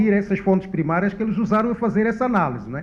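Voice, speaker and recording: A man's high-pitched voice at a very fast pace. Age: 60s. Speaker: economist panelist. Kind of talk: panel discussion. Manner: halting.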